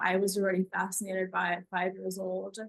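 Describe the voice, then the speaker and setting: A woman speaks at a fairly quick pace with a medium pitch and fairly even intonation. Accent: Russian. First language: Russian. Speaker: writer, former medical student. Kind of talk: interview.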